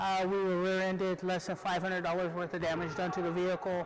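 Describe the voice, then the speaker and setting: His voice sits high in pitch for a man. Behind him, background noise is clearly audible. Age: 40s. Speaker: wheelchair athlete. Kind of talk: interview testimony.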